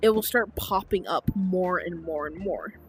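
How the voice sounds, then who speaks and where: A woman at medium pitch. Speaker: relationship advice vlogger. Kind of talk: casual monologue. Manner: pauses to swallow, popping P sounds.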